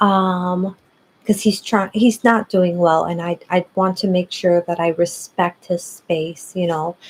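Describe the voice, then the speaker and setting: A woman whispers quietly and very slowly, the sound dry and close with no echo. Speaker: psychic tarot reader livestreamer. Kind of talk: live stream reading and chat. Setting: at someone else's house, live stream. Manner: quiet whispering.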